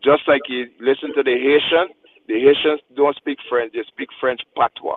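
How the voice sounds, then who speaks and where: Someone with a Guyanese accent speaks at a moderate pace with fairly even intonation. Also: man, fairly high pitch for a man. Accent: Guyanese Creole, drops th sound. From Guyana. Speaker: radio show panelist. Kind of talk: radio panel discussion. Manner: passionate, emphatic.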